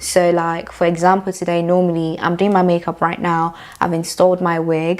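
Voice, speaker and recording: A woman's fairly low voice, monotone and flat, at a moderate pace. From Nigeria. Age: 20s. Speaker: beauty YouTuber. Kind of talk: casual get-ready-with-me chat.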